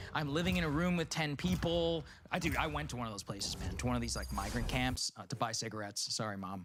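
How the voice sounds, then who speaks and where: A man with an American accent talks at a very fast pace in a medium pitch, his voice showing vocal fry. His pitch swings very widely. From United States. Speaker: podcast guest. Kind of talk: casual chat. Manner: animated.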